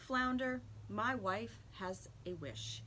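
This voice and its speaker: A put-on character voice at a middle pitch, with clear background noise. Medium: read story. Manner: timid, reluctant.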